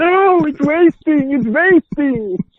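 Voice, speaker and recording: The speaker uses a put-on character voice pitched high. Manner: theatrical, dramatic.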